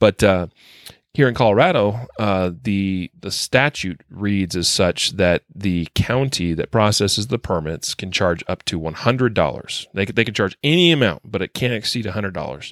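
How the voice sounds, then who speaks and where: A man with an ordinary speaking voice, fairly low pitch, lively intonation and a moderate pace, in a very clean recording with a silent background and a dry, close sound with no echo. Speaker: podcast host. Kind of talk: casual podcast discussion of news.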